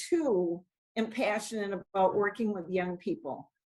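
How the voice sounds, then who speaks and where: A woman with an American accent, at a moderate pace. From New England, Brockton, Massachusetts. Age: 60s. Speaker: city council member. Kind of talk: interview.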